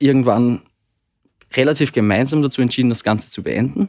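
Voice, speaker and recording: At a moderate pace and with ordinary pitch variation, the speaker talks in an Austrian accent on a very clean recording with a silent background. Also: man. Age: 20s. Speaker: therapy podcast guest. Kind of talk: personal conversation about relationship. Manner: halting.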